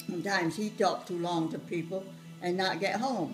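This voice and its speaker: A woman's voice with ordinary pitch variation over background music. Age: 80s+. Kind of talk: family storytelling, reminiscing.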